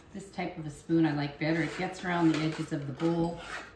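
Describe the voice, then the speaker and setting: A woman with a fairly low pitch is heard in a room with audible echo. There is noticeable background noise too. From Canadian Prairies. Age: 60s. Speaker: home cooking video host. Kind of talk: cooking tutorial. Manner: casual, chatty.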